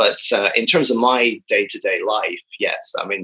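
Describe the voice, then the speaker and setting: A man with a Northern Irish accent. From Northern Ireland. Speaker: film and TV editor. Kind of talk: interview.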